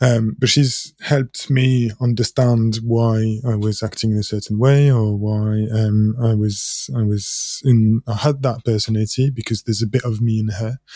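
On a very clean recording with a silent background, a man talks at a moderate pace with hardly any pauses, his medium-pitched voice dark, mellow and somewhat breathy, his intonation fairly even. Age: 30s. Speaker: podcast host. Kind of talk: casual interview chat.

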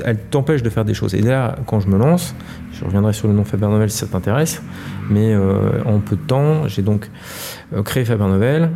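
A man's fairly low voice at a moderate pace, lively in intonation, over noticeable background noise. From Paris. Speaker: entrepreneur. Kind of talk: interview conversation. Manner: hesitant, with frequent repetitions.

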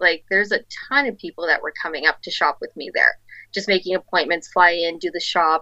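Against a quiet background, a woman talks at a fairly quick pace, her loudness swinging widely. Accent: Albertan. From Calgary, Alberta. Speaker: boutique owner. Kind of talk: casual interview.

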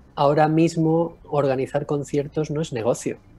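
A man's fairly high voice carries over music in the background. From Mallorca, Spain. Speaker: music producer and concert promoter. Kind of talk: remote interview.

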